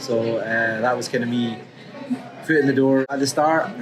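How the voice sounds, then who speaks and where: Music plays behind a man speaking in a Scottish accent with ordinary pitch variation. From Scotland. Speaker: supporters group volunteer. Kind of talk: documentary interview.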